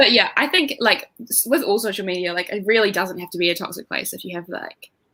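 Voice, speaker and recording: With a New Zealand accent, a woman talks at a very fast pace in a bright, sharp tone, medium pitch, and ordinary pitch variation. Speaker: booktuber guest. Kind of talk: casual chat. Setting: livestream.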